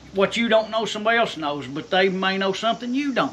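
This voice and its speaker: A man's raised, projected voice in an American accent, at a moderate pace with lively intonation. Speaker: blacksmith. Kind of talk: casual shop talk. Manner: halting.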